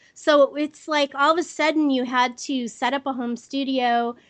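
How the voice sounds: A woman's high-pitched voice at a moderate pace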